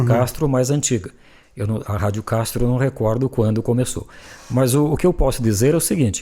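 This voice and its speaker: A somewhat breathy male voice of medium pitch, dark and mellow in tone. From Telêmaco Borba area, Paraná, Brazil. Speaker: journalist and radio broadcaster. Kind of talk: interview answer, reminiscing.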